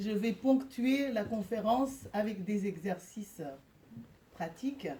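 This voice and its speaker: Fairly high in pitch, a woman's voice shows ordinary pitch variation. It is somewhat breathy, with a dark, mellow tone. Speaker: shamanic practitioner and speaker. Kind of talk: guided meditation; public lecture. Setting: lecture hall with live audience, no microphone. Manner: hesitant with frequent fillers. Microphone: speaking without microphone.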